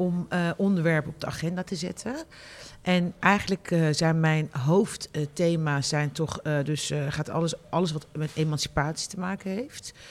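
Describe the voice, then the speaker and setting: A woman with a plain, everyday voice talks at a moderate pace. Her fairly low pitch stays fairly even in intonation. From Netherlands, Rotterdam. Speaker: columnist and journalist. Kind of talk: interview.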